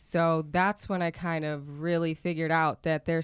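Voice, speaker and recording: This woman has a normal speaking voice, a fairly low pitch and an American accent, and talks at a moderate pace. The recording is very clean with a silent background and a dry, close sound with no echo. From Oklahoma. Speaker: cannabis activist and entrepreneur. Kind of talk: interview.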